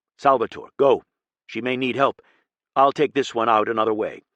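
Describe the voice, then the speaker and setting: Using a put-on character voice, a man speaks in a raspy medium pitch with fairly even intonation, the sound dry and close with no echo. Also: moderate pace. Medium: read story. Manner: terse, clipped.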